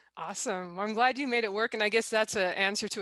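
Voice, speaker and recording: A woman's bright, sharp tone at a fairly quick pace, with ordinary pitch variation. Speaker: author. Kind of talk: interview host.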